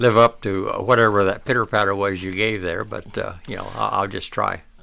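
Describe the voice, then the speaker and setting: Fairly low in pitch with vocal fry, a man speaks in a bright, sharp tone at a fairly quick pace with fairly even intonation. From Borrego Springs, Southern California. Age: 80s+. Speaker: local historian and author. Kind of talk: interview.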